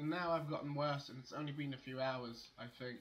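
A man's bright, sharp tone carries audible room echo.

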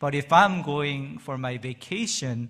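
The background is quiet. A man speaks at a fairly slow pace with ordinary pitch variation. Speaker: pastor. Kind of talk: sermon. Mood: warm, light-hearted. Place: church. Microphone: podium.

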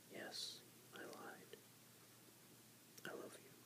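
Loud background noise surrounds the voice. The speaker is whispering and soft-spoken. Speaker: book reader. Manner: soft whispered book reading. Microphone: phone near.

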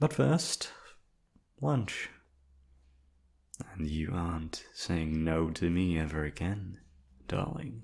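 A man puts on a character voice, low-pitched, breathy and quiet, with vocal fry. He talks slowly, leaving long, frequent pauses. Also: lively intonation, slightly mellow tone.

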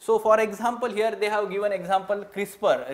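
A man speaks at a moderate pace in a high pitch. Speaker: exam coaching teacher. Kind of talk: lecture. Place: classroom.

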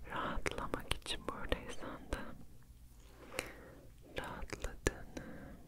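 A woman speaks in a whisper. Her pace is very slow. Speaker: ASMR creator. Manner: close whisper into the microphone. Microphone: studio mic.

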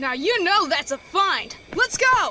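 Over faint music, a woman does a put-on character voice at an extremely high pitch, bright and sharp in tone, with big pitch swings and a fairly slow pace.

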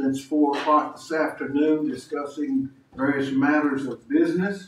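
A man speaks with ordinary pitch variation. There is audible room echo and light background noise. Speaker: council chairman. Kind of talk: meeting procedure. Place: hall.

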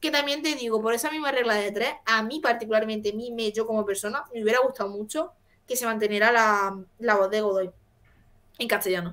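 With an Andalusian accent, a woman speaks at a fairly quick pace in an animated tone and a fairly high pitch. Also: ordinary pitch variation. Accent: Andalusian (Jaén). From Jaén, Andalusia. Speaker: co-host. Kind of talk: casual chat. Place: home room.

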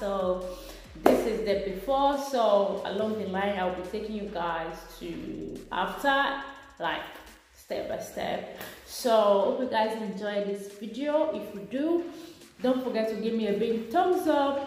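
A woman at a slow pace with a medium pitch, ordinary pitch variation and a slightly mellow tone, amid audible room echo.

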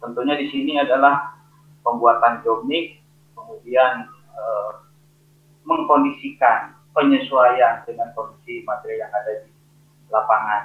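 A man speaking at a fairly slow pace amid audible room echo. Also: big swings in loudness. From Indonesia. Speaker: engineer presenter; presenter. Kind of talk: technical webinar presentation. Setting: video call. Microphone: video call.

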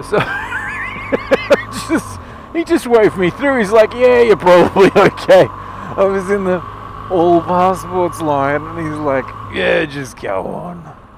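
Very slowly, a man speaks over noticeable background noise. The sound is dry with no echo. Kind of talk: casual vlog chat. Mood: amused, relaxed. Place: motorbike. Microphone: helmet.

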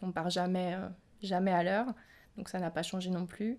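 On a very clean recording with a silent background, a woman speaks at a fairly slow pace, medium in pitch, with fairly even intonation. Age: 20s. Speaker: nurse. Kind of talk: testimony. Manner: halting, with frequent fillers.

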